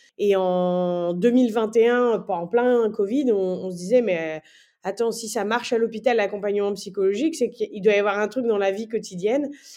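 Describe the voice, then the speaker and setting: Fairly high-pitched and dark, mellow in tone, a woman speaks at a fairly slow pace. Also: ordinary pitch variation, quiet background. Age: 30s. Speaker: nurse anesthetist and entrepreneur. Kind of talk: casual interview.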